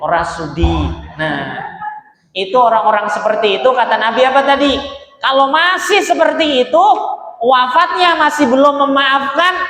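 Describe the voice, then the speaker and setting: Over noticeable background noise and audible room echo, a man speaks at a moderate pace in a raised, projected voice at an extremely high pitch, animated in tone with very wide pitch swings. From Bekasi, West Java, Indonesia. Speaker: Islamic preacher. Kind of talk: sermon.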